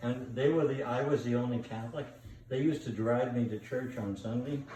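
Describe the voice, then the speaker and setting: The recording carries audible room echo and noticeable background noise. Through it, a man talks at a fairly quick pace. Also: medium pitch for a man, fairly even intonation. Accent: American. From New York. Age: 80s+. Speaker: grandfather. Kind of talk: casual chat. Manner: rambling, halting.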